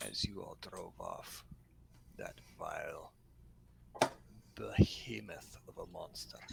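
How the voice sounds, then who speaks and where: A man's put-on character voice at a fairly slow pace, with long, frequent pauses and loud background noise. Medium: actual play. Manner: wordy, formal phrasing.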